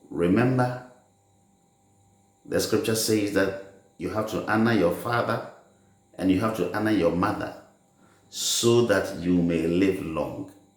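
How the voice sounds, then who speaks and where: The speaker goes at a fairly slow pace with ordinary pitch variation and long, frequent pauses, in a room with audible echo. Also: man, fairly low pitch for a man. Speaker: religious teacher. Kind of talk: sermon.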